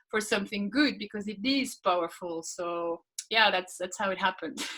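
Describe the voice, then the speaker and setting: A woman talks in a medium pitch, and her pitch varies in an ordinary way. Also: moderate pace. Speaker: laughter workshop coach. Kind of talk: interview.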